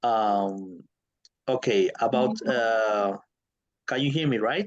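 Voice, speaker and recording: Speaking very slowly with a Peruvian accent, a man uses medium pitch and ordinary pitch variation. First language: Spanish. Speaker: country coordinator for volunteer programs. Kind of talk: webinar talk. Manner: halting.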